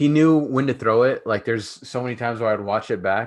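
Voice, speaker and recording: Man with a plain, everyday voice, a fairly quick pace and ordinary pitch variation against a quiet background. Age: 30s. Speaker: podcast host, former football player. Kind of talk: casual chat.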